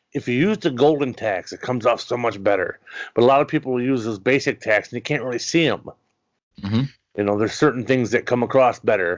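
The background stays quiet. A man speaks very fast. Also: medium pitch for a man, ordinary pitch variation. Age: 40s. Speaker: wrestling podcast host. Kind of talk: casual interview.

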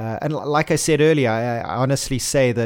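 At a moderate pace, a man talks in a normal speaking voice with fairly even intonation. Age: 30s. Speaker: racing driver. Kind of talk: interview. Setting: studio.

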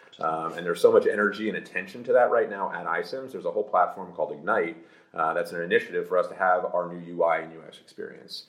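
A man with an American accent at a very fast pace, with big swings in loudness. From New Jersey, US. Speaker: tech executive. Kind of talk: interview. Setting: live event venue. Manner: animated.

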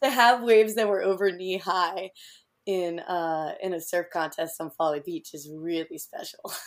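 On a very clean recording with a silent background, a woman with an American accent speaks in a plain, everyday voice at medium pitch and a moderate pace, with ordinary pitch variation and big swings in loudness. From US Southeast. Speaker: artist and surfer. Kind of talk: casual interview.

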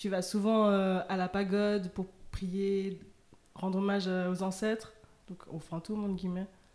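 A woman speaks at a medium pitch with a dark, mellow tone. Her intonation stays monotone and flat. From half Vietnamese family. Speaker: podcast co-host. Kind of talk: casual chat.

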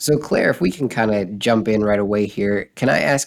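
A man speaks in an unremarkable speaking voice at a fairly low pitch. His pace is moderate and his pitch variation ordinary. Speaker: podcast co-host. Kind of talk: interview.

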